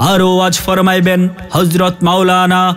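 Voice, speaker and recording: A man speaks with a high-pitched voice. Music plays in the background. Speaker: voice artist. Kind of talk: loudspeaker event announcement. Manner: rousing, declamatory.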